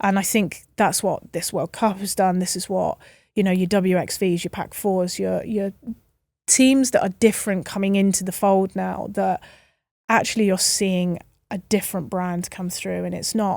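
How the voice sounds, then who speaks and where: At a moderate pace and medium pitch, a woman with an English accent speaks with fairly even intonation in a very clean recording with a silent background. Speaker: rugby referee. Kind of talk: casual chat. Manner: loud.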